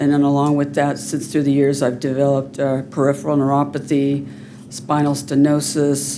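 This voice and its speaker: A woman with very deep, low pitch and monotone, flat intonation at a moderate pace, with audible room echo. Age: 60s. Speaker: public commenter. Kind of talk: public comment.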